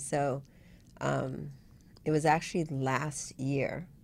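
A woman talks in a very deep, low pitch with vocal fry. Her intonation stays flat and monotone. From Vietnam, raised in US. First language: Vietnamese. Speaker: web consultant, entrepreneur. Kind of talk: casual interview.

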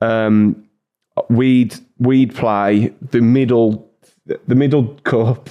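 With an English accent, a man at medium pitch talks very slowly and keeps his intonation fairly even. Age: 20s. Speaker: YouTuber. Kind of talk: casual chat.

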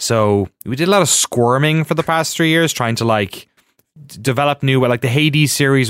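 Speaking at a fairly quick pace with an Irish accent, a man shows ordinary pitch variation in a very clean recording with a silent background and a dry, close sound with no echo. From Ireland. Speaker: documentary filmmaker. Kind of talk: casual chat.

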